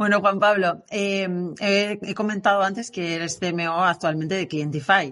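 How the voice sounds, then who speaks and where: A woman in a normal speaking voice talks at a fairly slow pace and medium pitch with fairly even intonation. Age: 40s. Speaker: podcast host, marketing agency co-founder. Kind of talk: podcast interview.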